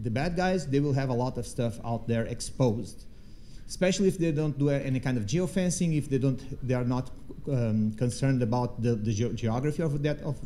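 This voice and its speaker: A man's dark, mellow, medium-pitched voice at a fairly quick pace, with ordinary pitch variation and audible room echo. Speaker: threat researcher. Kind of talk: conference talk with Q&A. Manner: fast; halting, many false starts.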